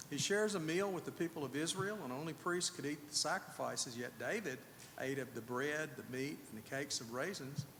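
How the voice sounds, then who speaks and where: A man speaks at a moderate pace with lively intonation. Audible room echo surrounds his voice. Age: 60s. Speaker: preacher. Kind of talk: sermon. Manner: conversational, with fillers.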